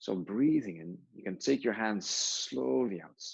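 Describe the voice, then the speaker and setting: Speaking with a non-native accent, a man uses a calm tone, a fairly slow pace and a fairly low pitch. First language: not English. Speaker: yoga teacher. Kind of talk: guided yoga class. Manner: calm, instructive.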